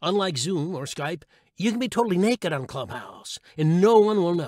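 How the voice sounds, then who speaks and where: Lively in intonation, a man speaks at a moderate pace with a high pitch. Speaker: audiobook narrator. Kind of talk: humorous blog read. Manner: comedic, wry.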